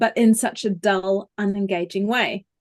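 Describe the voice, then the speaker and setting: A woman with a New Zealand accent at a very slow pace, in a dry, close sound with no echo. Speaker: vocal coach. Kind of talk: interview.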